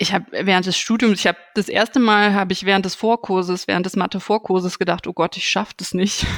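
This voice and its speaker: Speaking fairly quickly in a flat monotone, a woman is heard in a dry, close recording with no echo, very clean and with a silent background. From Germany, Aachen. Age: 30s. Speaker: museum curator and physicist. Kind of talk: interview.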